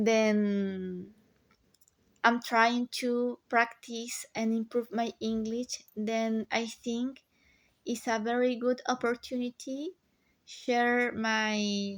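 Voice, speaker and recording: Speaking at a very slow pace with a Spanish accent, a woman keeps a fairly high pitch and fairly even intonation on a very clean recording with a silent background. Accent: non-native English, Spanish. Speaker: watercolor artist, vlogger. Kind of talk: casual tutorial voiceover. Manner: halting, many fillers.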